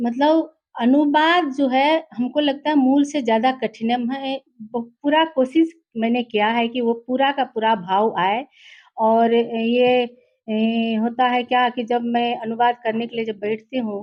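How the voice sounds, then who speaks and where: A woman with a Nepali accent speaks at a high pitch with ordinary pitch variation. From Nepali-speaking background. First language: Nepali (speaking Hindi). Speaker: literary translator. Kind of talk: interview. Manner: halting.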